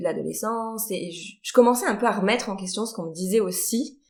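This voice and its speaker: Audible room echo surrounds a woman speaking at medium pitch with ordinary pitch variation. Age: 30s. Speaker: horse trainer. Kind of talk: podcast interview.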